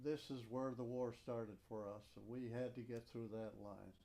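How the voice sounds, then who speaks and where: A man with an American accent speaks fairly slowly at a medium pitch, with fairly even intonation and a dark, mellow tone. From Upper Peninsula of Michigan. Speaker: war veteran. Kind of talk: oral history interview.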